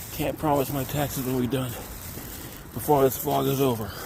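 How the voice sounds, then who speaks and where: A man's speech carries audible room echo, with noticeable background noise in the mix. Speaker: vlogger. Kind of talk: casual vlog narration. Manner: casual.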